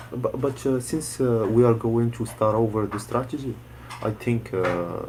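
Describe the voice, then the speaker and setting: With a Moroccan accent, a man talks in fairly even intonation over noticeable background noise. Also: medium pitch for a man, moderate pace. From Morocco. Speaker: student. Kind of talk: online group lesson. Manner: halting, many hesitations.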